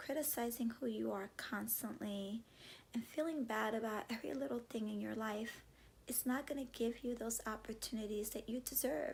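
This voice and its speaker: This woman's voice is somewhat breathy and fairly high in pitch. She speaks at a moderate pace with ordinary pitch variation. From US, Cuban-American family. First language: Spanish. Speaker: vlogger and classroom teacher. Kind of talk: motivational vlog talk. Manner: warm, conversational.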